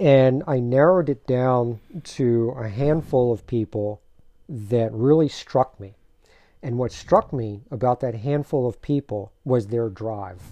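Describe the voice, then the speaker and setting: A man speaks in an ordinary speaking voice with an American accent, at medium pitch. His pace is fairly slow and his pitch variation is ordinary. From Maryland, Silver Spring. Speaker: martial artist and actor. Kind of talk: casual interview. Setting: studio.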